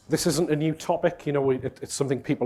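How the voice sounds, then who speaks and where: A man speaks with a Geordie accent. His pitch variation is ordinary. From northern England, Newcastle. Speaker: conference speaker, cloud integration consultant. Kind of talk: conference talk. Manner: casual, filler-heavy.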